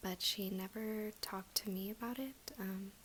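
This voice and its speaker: A woman speaks in a relaxed tone at a fairly high pitch. Her voice is soft-spoken. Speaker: ASMR creator. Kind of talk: ASMR story time, casual talk to camera. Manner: soft-spoken, relaxed.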